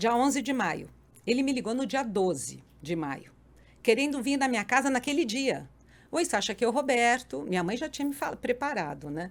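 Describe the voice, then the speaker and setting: An animated tone with lively intonation and vocal fry comes through on a very clean recording with a silent background. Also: woman. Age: 60s. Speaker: podcast guest, mother and grandmother. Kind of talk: casual interview chat.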